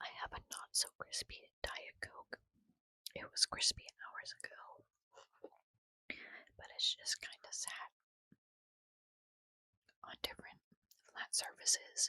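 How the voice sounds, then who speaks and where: The speaker whispers very slowly, with long pauses coming often. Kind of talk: whispered ASMR book reading, casual talk to camera. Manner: whispered, soft-spoken.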